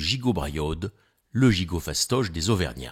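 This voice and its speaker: A man speaks at a very deep, low pitch with lively intonation and a somewhat breathy quality. The pace is fairly slow, and the recording is very clean with a silent background. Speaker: cooking storyteller. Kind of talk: casual storytelling recipe.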